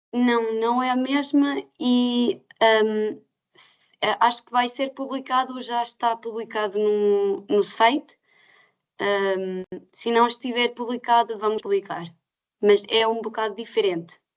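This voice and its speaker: The speaker moves at a very slow pace, with ordinary pitch variation and big swings in loudness. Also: woman, fairly high pitch for a woman. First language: not Portuguese (speaking Portuguese). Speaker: certification scheme representative. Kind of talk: webinar Q&A answers. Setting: online webinar. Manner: halting, many hesitations.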